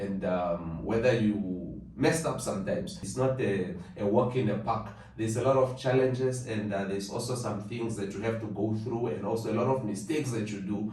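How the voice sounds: A man's fairly low voice at a moderate pace, with audible room echo. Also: ordinary pitch variation.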